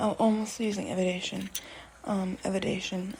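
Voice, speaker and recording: A woman speaks softly at a medium pitch with fairly even intonation. Background noise is noticeable. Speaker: podcaster. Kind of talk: casual monologue. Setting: at home, walking around the room. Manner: soft-spoken, talking quietly; halting, many fillers.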